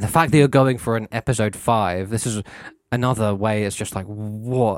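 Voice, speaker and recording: With ordinary pitch variation, an unremarkable speaking voice runs at a fairly quick pace. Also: man. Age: 30s. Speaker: podcast co-host. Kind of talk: casual chat.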